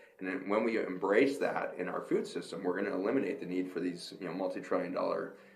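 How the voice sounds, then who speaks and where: A man with an American accent talks at a very fast pace with hardly any pauses, and the room echo is audible. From United States. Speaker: physician and health lecturer. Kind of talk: conference Q&A. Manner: monotone.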